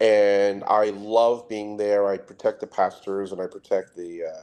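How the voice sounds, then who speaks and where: The speaker has a New York accent and a dark, mellow tone. The pace is fairly quick. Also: man. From Trinidad and Tobago, West Indies. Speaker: security specialist. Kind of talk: interview. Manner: fast.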